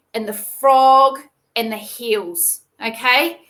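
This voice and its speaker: Very slowly, a woman speaks in a raised, projected voice with a high pitch and a bright, sharp tone. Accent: New Zealand. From New Zealand. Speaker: veterinarian. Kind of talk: tutorial. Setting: live video stream. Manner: casual, conversational.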